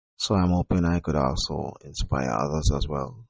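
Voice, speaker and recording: A man is talking. He keeps a moderate pace. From Jamaica. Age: 30s. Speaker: podcast host and poet. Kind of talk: personal monologue podcast. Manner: quiet, not very loud; halting, many fillers.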